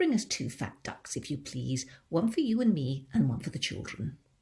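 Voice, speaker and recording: Using a put-on character voice, a female-sounding speaker talks at a moderate pace with a very deep, low pitch for a woman. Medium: read story.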